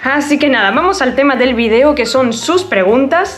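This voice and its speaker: A woman speaks in a high-pitched voice. Noticeable background noise runs behind her. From Argentina, La Rioja province. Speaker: YouTuber. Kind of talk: Q&A vlog.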